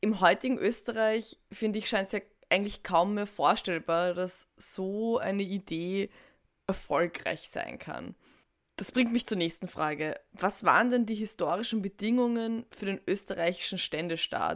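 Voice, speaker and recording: A normal speaking voice at a fairly slow pace. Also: woman, medium pitch for a woman, ordinary pitch variation. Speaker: podcast host. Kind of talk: interview. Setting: video call.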